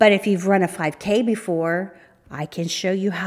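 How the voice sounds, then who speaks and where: In a normal speaking voice, a woman talks at a fairly slow pace and a medium pitch. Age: 50s. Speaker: podcast host, fitness trainer and life coach. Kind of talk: solo podcast monologue.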